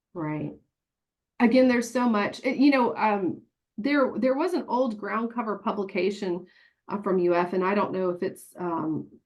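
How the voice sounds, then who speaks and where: A woman speaks in a Tennessee accent at a medium pitch. Her intonation is lively and her pace moderate. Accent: Tennessee country twang. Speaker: horticulture extension agent. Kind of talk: webinar presentation. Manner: animated.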